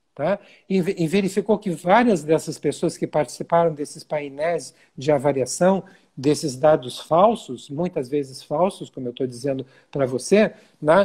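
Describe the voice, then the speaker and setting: Fairly slow, fairly high-pitched male speech with ordinary pitch variation. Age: 60s. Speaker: physician. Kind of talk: interview. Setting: video call. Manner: halting.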